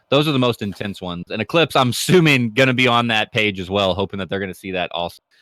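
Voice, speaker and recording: A man with an American accent, very fast with hardly any pauses, animated and lively in intonation, bright and sharp in tone, fairly low in pitch, on a very clean recording with a silent background and a dry, close sound with no echo. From United States. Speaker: esports commentator. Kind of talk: live commentary.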